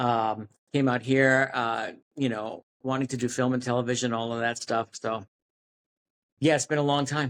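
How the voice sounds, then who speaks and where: Dry and close with no echo, a man with an American accent speaks in a flat monotone at a medium pitch and moderate pace, leaving long, frequent pauses. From New York City. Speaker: actor. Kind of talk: interview. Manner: halting, many false starts.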